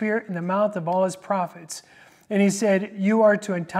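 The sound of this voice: An unforced reading voice, intonation fairly even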